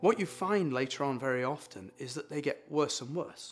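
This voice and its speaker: In a British accent, a man speaks at a fairly high pitch with lively intonation. Music plays in the background. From UK. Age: 60s. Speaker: patient. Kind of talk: testimony.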